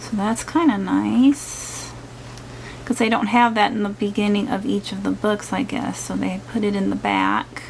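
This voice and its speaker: Noticeable background noise accompanies the woman as she talks at a moderate tempo. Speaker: craft channel vlogger. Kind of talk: casual product unboxing video.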